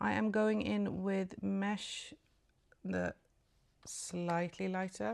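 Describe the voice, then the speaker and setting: A woman's voice with very wide swings in pitch. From Sweden. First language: Swedish. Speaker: beauty vlogger. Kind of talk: get ready with me tutorial. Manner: casual, hesitant.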